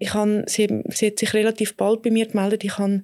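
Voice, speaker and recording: Intonation stays monotone and flat as the words come out fairly quickly. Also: woman. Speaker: gynecologist. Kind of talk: interview. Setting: studio.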